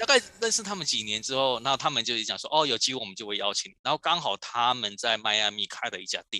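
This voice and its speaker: Very fast and with hardly any pauses, this bright, sharp voice has lively intonation and a dry, close sound with no echo. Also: man, medium pitch for a man. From Taiwan, Kaohsiung (southern Taiwan). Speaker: toy designer. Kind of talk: interview. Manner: halting, many fillers.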